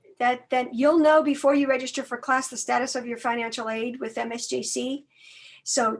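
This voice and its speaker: Against a quiet background, a woman talks fairly quickly in a high pitch. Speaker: college outreach staff. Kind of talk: online information workshop.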